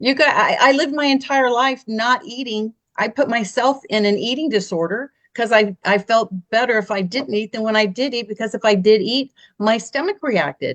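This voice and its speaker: With a normal speaking voice, a woman talks at a moderate pace. Her pitch is fairly high, with ordinary pitch variation. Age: 60s. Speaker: health series host. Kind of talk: casual chat.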